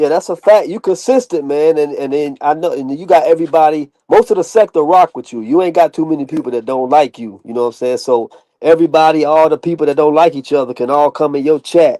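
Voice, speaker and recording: A man's dark, mellow voice at a fairly high pitch, very fast with hardly any pauses, big swings in loudness, ordinary pitch variation, and a dry, close sound with no echo. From US South. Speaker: live stream guest. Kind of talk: casual chat.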